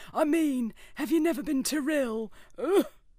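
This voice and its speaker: A female-sounding, put-on character voice speaks at a moderate pace. The recording is very clean, with a silent background. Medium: audio drama. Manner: prim, sardonic.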